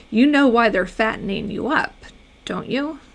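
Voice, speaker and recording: A growling, put-on character voice speaks at a moderate pace. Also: woman, fairly high pitch for a woman. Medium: read story.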